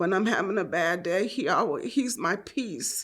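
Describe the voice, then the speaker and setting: In a very clean recording with a silent background, a woman with an unremarkable speaking voice talks at medium pitch and a fairly slow pace with lively intonation. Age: 60s. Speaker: wife of an incarcerated man sharing her story. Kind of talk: personal testimony.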